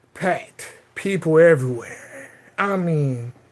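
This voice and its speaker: A man with a Southern US accent, high pitch and an animated tone. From US South. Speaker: livestreamer. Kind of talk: casual chat. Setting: home livestream.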